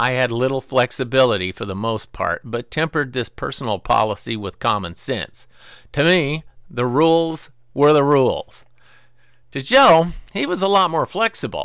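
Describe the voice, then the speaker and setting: Recorded very cleanly against a silent background, a man with an American accent uses an unremarkable speaking voice at a medium pitch, keeping a moderate pace and lively intonation. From US Pacific Northwest, small town. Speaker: retired correctional officer, storyteller. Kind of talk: scripted narration.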